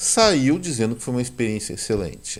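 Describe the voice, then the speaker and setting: A man speaks at a moderate pace in a warm, medium-pitched voice that swings very widely in pitch. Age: 60s. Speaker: economics commentator, channel owner. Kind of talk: video commentary monologue. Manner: warm, conversational.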